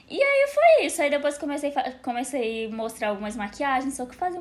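A woman with a high pitch talks at a moderate pace, her voice making very wide pitch swings against noticeable background noise. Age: 20s. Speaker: content creator. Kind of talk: casual chat.

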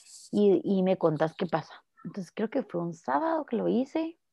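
A woman's dark, mellow tone with very wide pitch swings. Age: 20s. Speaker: podcast guest sharing experience of suicidal thoughts. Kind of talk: testimony.

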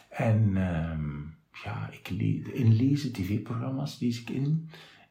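A man's pitch swings very widely. Noticeable background noise and audible room echo surround him. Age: 50s. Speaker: radio presenter. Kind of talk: casual interview. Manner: clear, articulate.

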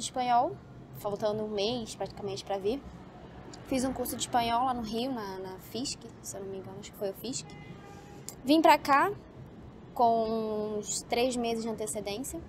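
A woman speaks at a moderate pace in a fairly high pitch, with ordinary pitch variation and long, frequent pauses. Her loudness swings widely over noticeable background noise. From Brazil, Rio de Janeiro. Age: 20s. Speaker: medical student. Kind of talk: casual interview. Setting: outdoors, building rooftop.

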